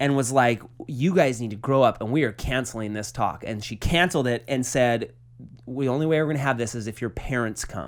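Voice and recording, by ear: A man speaks at a medium pitch with ordinary pitch variation. His pace is fairly quick.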